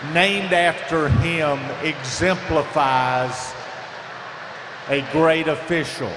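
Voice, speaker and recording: A very slow man's voice in a Southern US accent, fairly high in pitch with fairly even intonation, amid noticeable background noise and audible room echo. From US South, upstate South Carolina. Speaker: swim meet official. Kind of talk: award presentation speech.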